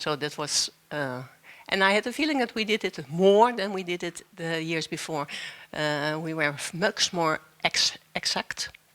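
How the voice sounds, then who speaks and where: With a Dutch accent, a woman with a fairly low pitch speaks at a fairly slow pace and lively intonation. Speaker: dancer. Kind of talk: panel discussion. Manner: halting, searching for words.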